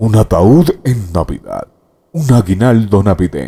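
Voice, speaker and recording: A man uses a put-on character voice, rumbling at medium pitch. He speaks at a fairly slow pace with very wide pitch swings. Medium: read story. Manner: grumbling, sour.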